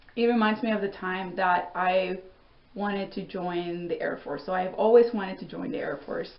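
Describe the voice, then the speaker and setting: Speaking with a non-native accent at a moderate pace, the voice shows ordinary pitch variation amid audible room echo. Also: woman. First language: not English. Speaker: vlogger, Air Force veteran. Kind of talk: personal storytelling monologue. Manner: casual, conversational.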